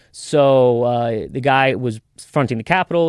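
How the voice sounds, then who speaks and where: A man with an American accent speaks at a medium pitch with ordinary variation, in an unremarkable speaking voice. The background is quiet. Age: 20s. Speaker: contractor. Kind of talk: casual chat.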